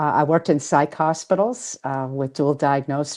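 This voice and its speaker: With a Boston accent, a woman speaks at a fairly quick pace in a very deep, low pitch and a dark, mellow tone over a quiet background. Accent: Boston accent, still noticeable. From Boston area, Massachusetts. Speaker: author and spiritual healer. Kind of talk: interview.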